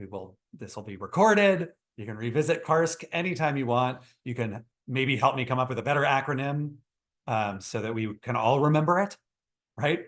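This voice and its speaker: Lively intonation and big swings in loudness mark this voice with an American accent. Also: man, medium pitch for a man. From Texas. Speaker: psychologist. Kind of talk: webinar lecture. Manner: fast.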